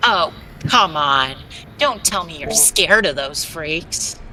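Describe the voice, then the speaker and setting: A gruff, cartoonish character voice at a middle pitch, over clear background noise. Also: fairly slow pace. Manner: blunt, gruff.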